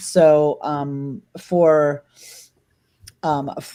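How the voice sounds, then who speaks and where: A woman's dark, mellow voice, very deep and low in pitch, in a Spanish accent. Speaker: dog trainer hosting a panel discussion. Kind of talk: casual panel discussion. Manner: halting, many fillers and restarts.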